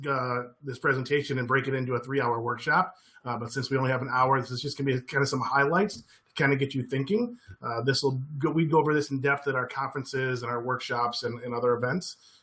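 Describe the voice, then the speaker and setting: A man speaks at a very fast pace. He has an American accent. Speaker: former teacher, education trainer. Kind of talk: webinar presentation. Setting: online webinar. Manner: animated.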